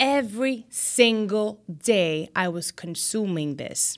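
A woman with an American accent speaks at a very slow pace on a very clean recording with a silent background. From US, Dominican parents. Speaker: TV news anchor. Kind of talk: casual interview chat.

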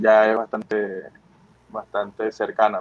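The voice belongs to a man and sits fairly low. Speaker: professional baseball pitcher. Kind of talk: interview. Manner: halting, many fillers and repetitions.

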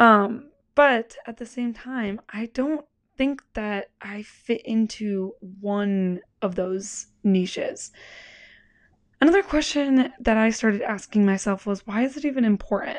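Against a quiet background, a woman in a plain, everyday voice speaks at a fairly slow pace with a fairly high pitch, ordinary pitch variation and big swings in loudness. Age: 20s. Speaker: podcast host. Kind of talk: solo podcast monologue. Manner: casual with frequent laughs.

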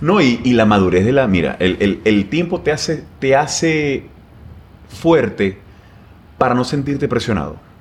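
At a fairly slow pace and with long, frequent pauses, a man speaks at a medium pitch with very wide pitch swings and very even loudness. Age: 30s. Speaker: plastic surgeon. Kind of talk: casual interview. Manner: halting, many repetitions.

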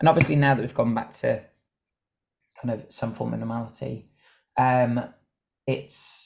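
The voice is somewhat breathy and monotone, moving at a moderate pace. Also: man. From Ireland, Cork. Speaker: dancer and choreographer. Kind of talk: casual interview.

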